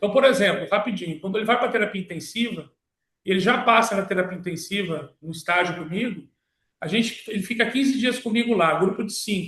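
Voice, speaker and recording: Here a man talks at a fairly quick pace in a high pitch. His tone is bright and sharp, with ordinary pitch variation. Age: 60s. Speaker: medical professor and physician. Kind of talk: online panel answer. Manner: halting, self-correcting.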